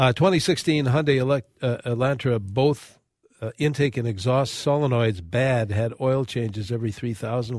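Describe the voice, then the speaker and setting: A man with an American accent uses an ordinary speaking voice at a medium pitch, speaking at a moderate pace with ordinary pitch variation. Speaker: radio host. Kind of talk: radio call-in show. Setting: studio.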